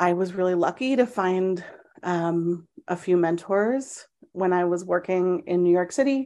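A dark, mellow voice in an American accent, at a fairly slow pace with ordinary pitch variation, over a quiet background. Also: woman. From US Northeast, Boston area; teen years in UK. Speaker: education researcher. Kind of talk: interview.

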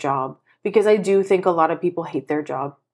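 Very clean with a silent background, the recording captures a woman with an unremarkable speaking voice, medium in pitch and fairly quick in pace. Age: 30s. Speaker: podcast co-host, teacher. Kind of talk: casual chat.

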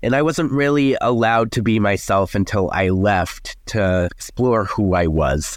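Over a quiet background, a man with an American accent speaks at a fairly low pitch and fairly slow pace, with very even loudness and hardly any pauses. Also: lively intonation. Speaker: paleontologist and science content creator. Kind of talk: casual interview chat.

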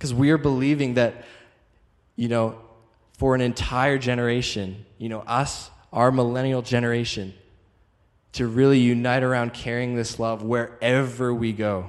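The man's medium-pitched voice is monotone and flat, at a moderate pace with long, frequent pauses. Audible room echo surrounds it. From Calgary, Canada. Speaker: traveling evangelist. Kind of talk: sermon.

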